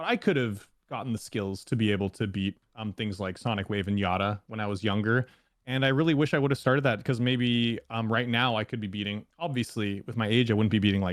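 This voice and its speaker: At a fairly quick pace, a man with a Canadian accent speaks in an ordinary speaking voice at a medium pitch with ordinary pitch variation. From Canada. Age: 30s. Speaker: YouTube gaming content creator. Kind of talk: casual interview.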